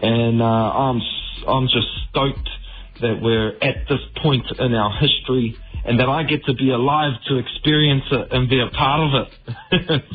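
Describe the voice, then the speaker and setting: With music in the background, a man speaks fairly slowly at a medium pitch, his intonation fairly even and his loudness very even. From New Zealand. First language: Māori. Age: 30s. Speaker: musician. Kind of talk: radio interview.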